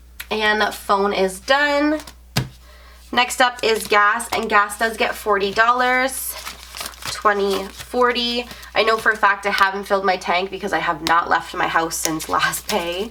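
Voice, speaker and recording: With a Canadian accent, a woman speaks at a medium pitch and a fairly slow pace against noticeable background noise. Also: ordinary pitch variation. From Canada. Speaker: budgeting vlogger. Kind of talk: casual vlog tutorial.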